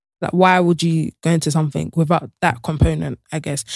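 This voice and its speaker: Speaking at a very fast pace, a woman uses a fairly low pitch with vocal fry. The sound is dry and close, with no echo. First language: not English. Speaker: podcast host. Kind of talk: casual chat.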